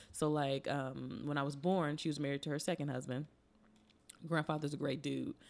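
With an American accent, a woman speaks at a moderate pace with a very deep, low pitch, vocal fry and flat, monotone intonation. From Chicago South Side. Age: 30s. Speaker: comedian. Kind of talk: casual chat. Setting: studio.

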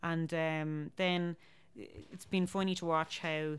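In a Dublin accent, a woman talks with a fairly low pitch. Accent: Dublin Irish. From Ireland, Dublin. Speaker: folk musician. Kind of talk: casual chat. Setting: home kitchen.

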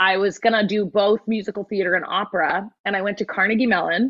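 This woman has a West Coast US accent and a medium-pitched voice. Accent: General American, West Coast. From Southern California. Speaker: musical theatre actress and vocal coach. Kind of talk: casual chat. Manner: animated.

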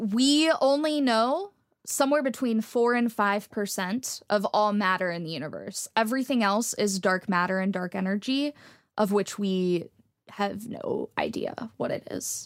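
A woman's unremarkable speaking voice in an American accent, fairly high in pitch, with lively intonation at a fairly slow pace, on a very clean recording with a silent background. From Texas. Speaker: astrophysics PhD student and science communicator. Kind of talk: interview conversation.

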